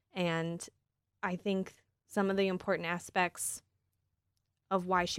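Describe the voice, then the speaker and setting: A woman with a Midwestern American accent, medium in pitch, monotone and flat, at a moderate pace, on a very clean recording with a silent background. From Michigan, East Lansing. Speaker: recent graduate, incoming medical student. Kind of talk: interview.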